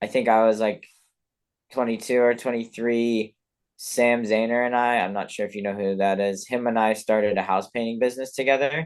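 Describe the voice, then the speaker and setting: A man with a normal speaking voice talks at a fairly quick pace, his medium pitch held in fairly even intonation. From Colorado (born in London, moved at eight). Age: 20s. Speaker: professional skier. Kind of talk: podcast interview. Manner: casual, many fillers and repetitions.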